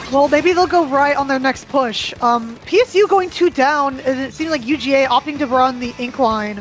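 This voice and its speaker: A woman's high voice at a moderate pace with hardly any pauses, noticeable background noise behind her. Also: ordinary pitch variation. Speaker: esports commentator. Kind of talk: live commentary. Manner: stutter; casual, hesitant with fillers.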